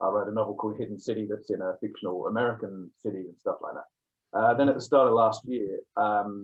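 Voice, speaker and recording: A man of medium pitch with a slight English accent, at a fairly quick pace. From England. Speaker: author. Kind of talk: interview.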